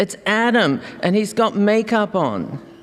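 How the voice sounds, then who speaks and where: With an Australian accent, a woman talks over noticeable background noise. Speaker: fiction writer. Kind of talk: reading aloud.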